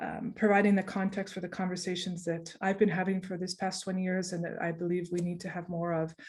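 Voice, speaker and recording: A woman's somewhat breathy, medium-pitched voice with a Canadian accent. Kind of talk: online presentation. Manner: fast; hesitant, many fillers.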